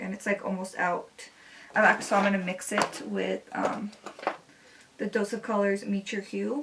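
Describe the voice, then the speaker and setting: A woman at a medium pitch speaks fairly slowly and in a flat monotone, leaving long, frequent pauses, with noticeable background noise behind her. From US West Coast, Los Angeles area. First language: Spanish. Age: 20s. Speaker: beauty vlogger. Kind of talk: makeup tutorial with casual chat. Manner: casual, filler-heavy.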